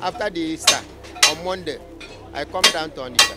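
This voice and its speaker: Music plays in the background as a man with a Nigerian accent speaks in a high voice. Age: 70s. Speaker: war veteran; tinker. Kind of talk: interview answer.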